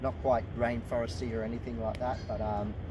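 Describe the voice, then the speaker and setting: There is noticeable background noise behind this man, and the sound is dry with no echo. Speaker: presenter. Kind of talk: casual educational walk-and-talk. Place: forest. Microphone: camera far.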